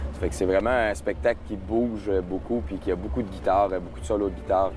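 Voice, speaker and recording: A man with a Quebec accent speaks in a very deep, low voice with lively intonation, amid noticeable background noise and audible room echo. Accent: Québécois French. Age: 20s. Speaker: singer. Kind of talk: interview. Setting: outdoor festival stage. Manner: hesitant, many fillers.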